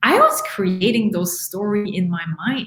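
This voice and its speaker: A woman with a medium pitch speaks in a strong French Canadian accent. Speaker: life coach. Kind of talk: live podcast talk. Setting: live stream video. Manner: animated.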